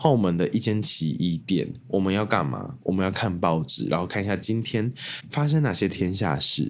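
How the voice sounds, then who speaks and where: A man with an ordinary speaking voice, pitched fairly low. He talks at a moderate pace. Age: 20s. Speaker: podcast host. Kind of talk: casual solo monologue.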